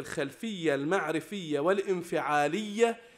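Speaking at a fairly slow pace, the man has lively intonation. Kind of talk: lecture. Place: hall. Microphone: podium.

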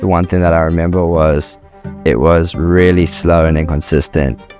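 A man's very deep, low voice with fairly even intonation at a moderate pace, dry with no echo, over clear music in the background. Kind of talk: interview answer. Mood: relaxed, soft-spoken storytelling. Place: home room. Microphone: lapel.

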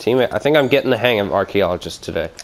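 Noticeable background noise sits behind this man. His intonation is lively. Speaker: gaming YouTuber. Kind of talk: gameplay commentary. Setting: home recording, gameplay voiceover. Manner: casual, rambling with fillers.

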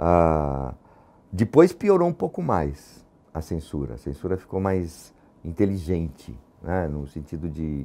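Very slowly, a man talks in a very deep, low pitch, his tone dark and mellow with ordinary pitch variation. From São Paulo, Brazil (Lapa). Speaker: theatre actor and former activist. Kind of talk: testimony interview. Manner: halting, many repetitions and fillers.

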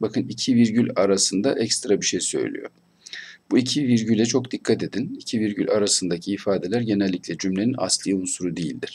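Talking at a fairly quick pace, a man has a normal speaking voice with a fairly low pitch and ordinary pitch variation. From Turkey. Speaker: Arabic language teacher. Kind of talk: online lecture. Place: home room. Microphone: webcam.

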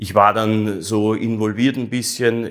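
Over a quiet background, a man speaks at a fairly low pitch with monotone, flat intonation. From Austria (Vienna). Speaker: artist, actor and streamer; actor, streamer. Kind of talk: interview. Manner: halting, many repetitions. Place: home room. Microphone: lapel.

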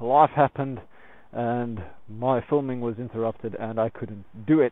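The sound is dry with no echo as a man speaks at a moderate pace. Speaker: motorcycle vlogger. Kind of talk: casual vlog chat. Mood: relaxed and upbeat. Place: open country. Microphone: phone near.

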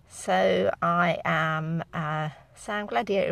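Her pitch fairly low, a woman talks in a dry sound with no echo. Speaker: angel reader. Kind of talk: casual vlog chat. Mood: friendly, upbeat. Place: car. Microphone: phone near.

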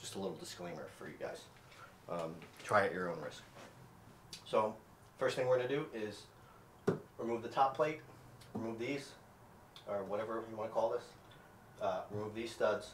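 A man at a moderate pace with long, frequent pauses, ordinary pitch variation and big swings in loudness, amid light background noise and audible room echo. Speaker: contractor renovating his own home. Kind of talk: tutorial. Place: bathroom. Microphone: camera far.

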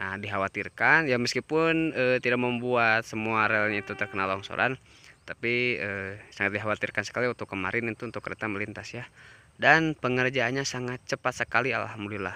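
A man talks at a fairly quick pace in a bright, sharp tone, and the sound is dry with no echo. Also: ordinary pitch variation. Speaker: railfan vlogger. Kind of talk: casual vlog chat. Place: open country. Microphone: phone near.

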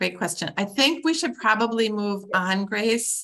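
A woman with vocal fry and a bright, sharp tone speaks at a moderate pace against a quiet background. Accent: Upper Midwest. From Wisconsin (Clintonville); Wisconsin. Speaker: conservation biologist; guest. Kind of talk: lecture. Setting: video call. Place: home room. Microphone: video call.

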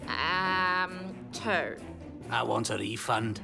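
A cartoonish character voice sits at a middle pitch. Loud music plays in the background. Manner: sour, groaning, unimpressed.

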